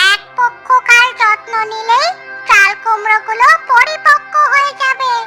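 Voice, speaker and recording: A cartoonish character voice at an extremely high pitch talks at a fairly slow pace, with clear music in the background. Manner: calm, knowing, advisory.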